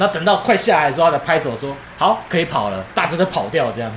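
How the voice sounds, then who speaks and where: A man with a fairly high pitch talks amid audible room echo and noticeable background noise. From Taiwan, Keelung. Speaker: podcast co-host. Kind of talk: casual chat.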